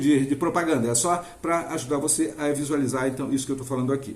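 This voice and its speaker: Amid audible room echo, a man talks at a fairly quick pace with a fairly high pitch and fairly even intonation. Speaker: finance educator. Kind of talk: tutorial. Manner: fast; hesitant, with fillers.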